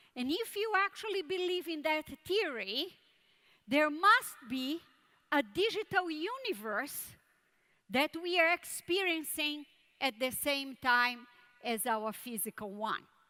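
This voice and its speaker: In a Brazilian Portuguese accent, a woman with a high pitch and a bright, sharp tone uses a raised, projected voice, very wide pitch swings and a fairly slow pace with long, frequent pauses. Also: very clean recording, silent background. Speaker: tech conference speaker. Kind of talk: keynote talk.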